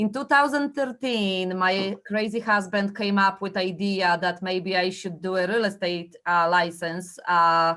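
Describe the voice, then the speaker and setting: In a strong Polish accent, a woman speaks at a fairly slow pace and a medium pitch with fairly even intonation. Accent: heavy Polish. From Poland. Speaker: real estate agent. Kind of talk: training presentation. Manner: hesitant, many fillers.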